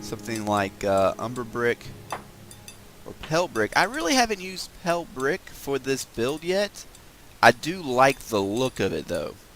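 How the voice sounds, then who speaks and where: The voice moves through very wide pitch swings. Noticeable background noise is present. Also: man, medium pitch for a man, moderate pace. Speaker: gaming video creator. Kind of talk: casual gameplay commentary. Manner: mumbly at times; hesitant, many fillers.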